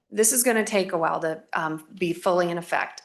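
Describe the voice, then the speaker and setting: A woman has a normal speaking voice at a medium pitch. She talks at a fairly quick pace. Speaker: school finance consultant presenting to a school board. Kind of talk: presentation to a school board. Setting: school board meeting.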